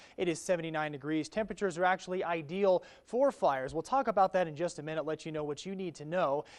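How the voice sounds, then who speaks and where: Here a man speaks at a very fast pace with hardly any pauses. His pitch is high, with ordinary pitch variation. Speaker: TV weather presenter and reporter. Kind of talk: TV weather forecast. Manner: upbeat.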